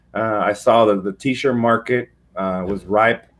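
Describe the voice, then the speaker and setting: In a plain, everyday voice, this man talks at a medium pitch. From Mexico, moved to US as a child. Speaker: business founder and CEO. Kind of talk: interview.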